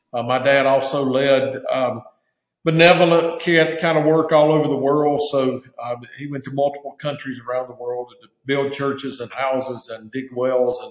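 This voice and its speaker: A man talks at a moderate pace with fairly even intonation, and the quiet background carries audible room echo. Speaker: guest. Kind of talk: interview answer. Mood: calm, reflective. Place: office. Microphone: webcam.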